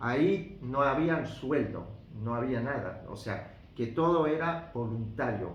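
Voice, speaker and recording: With an Argentine accent, a man speaks at a very slow pace and with lively intonation, with audible room echo and music in the background. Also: medium pitch for a man. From Algeria, with time in Argentina. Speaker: interviewee, son of a historical figure. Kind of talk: interview. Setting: at his home in Algeria. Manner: halting, with many fillers.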